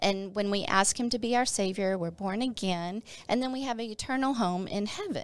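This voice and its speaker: Against a silent background in a very clean recording, a woman with an unremarkable speaking voice talks at a moderate pace, fairly high in pitch and with ordinary pitch variation. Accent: American. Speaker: former pastor's wife sharing her testimony. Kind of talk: testimony. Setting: studio.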